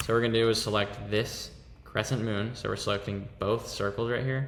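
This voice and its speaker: A man talks at a moderate pace in a fairly low pitch with fairly even intonation. Room echo can be heard around him. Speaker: fashion design tutorial creator. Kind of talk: screen-recorded software tutorial.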